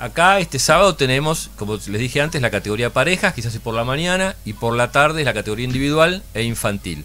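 A man talks at a very fast pace with lively intonation, a bright, sharp tone and hardly any pauses. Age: 60s. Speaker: puzzle company founder. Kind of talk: radio interview. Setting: radio studio with camera. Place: studio. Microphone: studio mic.

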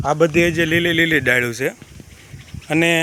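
A man's voice, pitched fairly high with ordinary pitch variation, comes through noticeable background noise. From Gujarat coastal village. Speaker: village vlogger. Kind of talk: video tour narration. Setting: outdoors at seaside temple.

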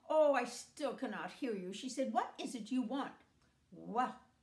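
A woman speaks at a high pitch and a moderate pace. The room echo is audible, though the background stays quiet. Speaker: storyteller. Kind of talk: storytelling with character voices. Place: home room. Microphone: phone near.

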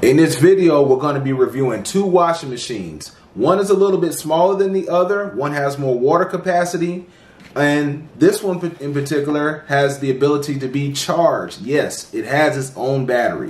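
A man talks at a moderate pace with hardly any pauses and ordinary pitch variation. Room echo is audible. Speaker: channel host reviewing products. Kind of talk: product review tutorial. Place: home room.

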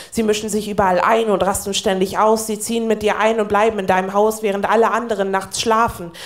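A woman talks at a fairly quick pace in a medium pitch with monotone, flat intonation. The background is quiet. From Northern Germany. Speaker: poetry slammer. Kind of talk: poetry slam performance. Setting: live stage. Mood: wry, warm storytelling. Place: stage.

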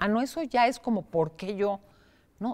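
Here a woman talks. She keeps things fairly slow. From Mexico. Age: 60s. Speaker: psychotherapist; guest. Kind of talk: interview. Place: studio.

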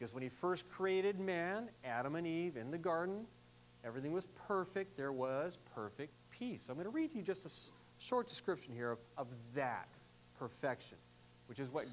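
At a moderate speed a man talks, with light noise in the background. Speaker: pastor. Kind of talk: sermon. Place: church.

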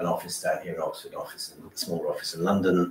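There's audible echo from the room and a little background noise while a man is talking. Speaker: guest. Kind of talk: lecture. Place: hall. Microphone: camera far.

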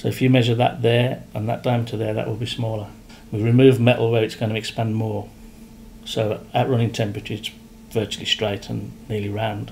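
With light background noise, a man of medium pitch speaks at a fairly quick pace in a monotone, flat intonation. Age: 50s. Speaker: piston company director and machinist. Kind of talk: technical explanation in workshop. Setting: factory workshop. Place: office.

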